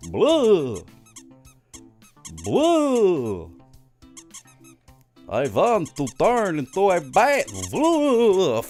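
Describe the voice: In a put-on character voice of middle pitch, the speaker goes at a very slow pace with long, frequent pauses over faint music in the background.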